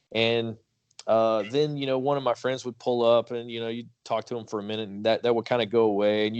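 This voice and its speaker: At a fairly quick pace, a man talks at a medium pitch with monotone, flat intonation. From Kentucky. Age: 30s. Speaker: podcast host. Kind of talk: interview.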